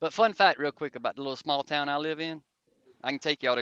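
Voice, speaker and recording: A man with a Southern accent speaks very fast at a fairly high pitch, his tone bright and sharp, the sound dry and close with no echo. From South Georgia / North Florida. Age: 50s. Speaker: Army veteran, motorcycle rider and truck driver. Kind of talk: casual chat.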